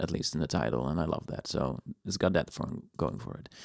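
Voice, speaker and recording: On a very clean recording with a silent background and a dry, close sound with no echo, a man with a Dutch accent talks at a moderate pace with lively intonation. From Netherlands. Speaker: video game music composer, streamer. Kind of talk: live stream reaction chat.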